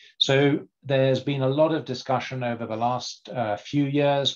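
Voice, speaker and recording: A man speaks against a quiet background. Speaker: livestock development director. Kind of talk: webinar presentation. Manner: halting. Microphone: dodgy line.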